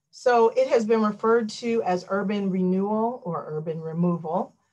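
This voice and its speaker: A woman with an American accent speaks at a moderate pace and medium pitch, with ordinary pitch variation, over a quiet background. She has an ordinary speaking voice. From Washington, DC. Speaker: law professor. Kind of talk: lecture. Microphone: video call.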